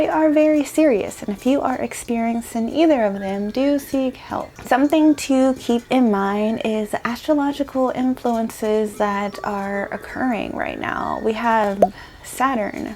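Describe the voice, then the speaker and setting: Against noticeable background noise, a woman speaks fairly slowly with hardly any pauses, a fairly high pitch and ordinary pitch variation. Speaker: lifestyle vlogger. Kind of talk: casual vlog talk to camera. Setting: at home, talking to camera. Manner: soft-spoken.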